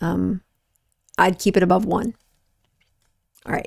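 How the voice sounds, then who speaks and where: A woman's medium-pitched voice with vocal fry, at a fairly quick pace, on a very clean recording with a silent background and a dry, close sound with no echo. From US, small rural town. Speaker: physician and health show host. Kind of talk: live Q&A show. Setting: livestream. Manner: conversational, with fillers.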